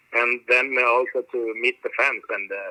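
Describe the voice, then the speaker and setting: A man with a Swedish accent. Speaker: metal drummer. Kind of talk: interview. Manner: halting.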